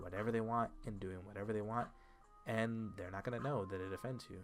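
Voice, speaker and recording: Fairly low-pitched male voice at a fairly quick pace, with music in the background. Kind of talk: casual talk to camera.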